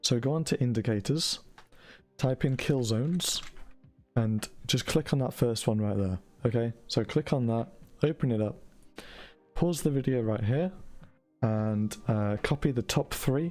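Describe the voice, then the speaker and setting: A man with a British accent at medium pitch and a fairly slow pace, with ordinary pitch variation, long, frequent pauses and music in the background. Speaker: forex trading educator. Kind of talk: tutorial.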